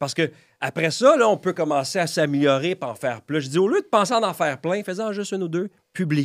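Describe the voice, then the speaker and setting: In an animated tone, a man with a high pitch speaks at a fairly quick pace, the sound dry and close with no echo. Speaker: real estate broker and content creator. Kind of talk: podcast interview. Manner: fast.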